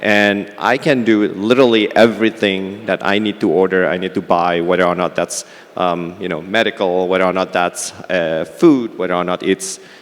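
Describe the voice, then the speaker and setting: Over noticeable background noise, a man with a very deep, low pitch speaks at a moderate pace with fairly even intonation and hardly any pauses. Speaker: fintech CEO. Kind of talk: panel discussion.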